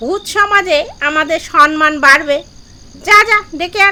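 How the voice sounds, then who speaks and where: Put-on character voice from a woman, at a fairly slow pace. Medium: read story. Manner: crafty, self-important.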